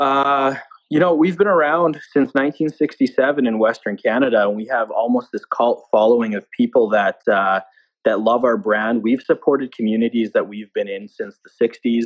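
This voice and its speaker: Using a plain, everyday voice, a man speaks at medium pitch and a moderate pace with ordinary pitch variation. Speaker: marketing director. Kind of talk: casual interview. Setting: home basement, remote call. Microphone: echoey room, weak internet connection.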